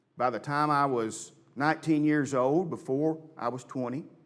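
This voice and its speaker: His pitch sits fairly high for a man, with ordinary variation throughout. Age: 60s. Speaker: church elder and preacher. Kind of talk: sermon.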